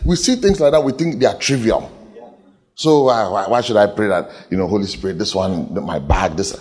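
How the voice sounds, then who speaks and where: Vocal fry runs through this man's speech at a fairly quick pace. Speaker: pastor. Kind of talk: sermon. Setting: church. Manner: animated.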